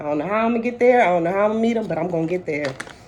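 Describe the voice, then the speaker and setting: Against noticeable background noise, a woman talks in an American accent. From Delaware, US. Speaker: vlogger. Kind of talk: personal talk to camera. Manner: rambling, hesitant with fillers.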